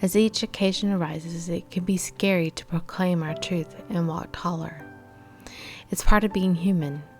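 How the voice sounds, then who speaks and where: A woman with an American accent speaks at a moderate pace in a fairly low pitch, her intonation fairly even, with music playing in the background. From Texas. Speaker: motivational speaker and life coach. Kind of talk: motivational talk to camera.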